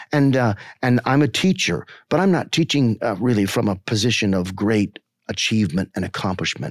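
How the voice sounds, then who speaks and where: The sound is dry and close, with no echo. A man with a plain, everyday voice speaks at a moderate pace, fairly low in pitch, with lively intonation. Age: 50s. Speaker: marketing researcher and teacher. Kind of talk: podcast discussion. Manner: earnest, reflective.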